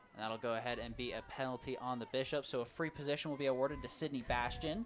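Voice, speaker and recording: The speech runs at a very fast pace with fairly even intonation. Noticeable background noise sits behind it. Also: man, medium pitch for a man. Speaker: sports commentator. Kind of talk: live commentary.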